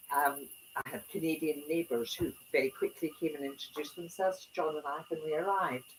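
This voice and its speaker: A woman's very deep, low voice, fairly quick in pace, with fairly even intonation. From Scotland. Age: 70s. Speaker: retired club president giving a talk. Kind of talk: talk to a small audience. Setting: small room with audience.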